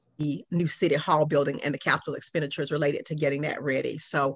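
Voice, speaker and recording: In a quiet background, a woman with a very deep, low pitch talks fairly quickly in a monotone, flat intonation. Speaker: meeting facilitator. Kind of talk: meeting presentation. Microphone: video call.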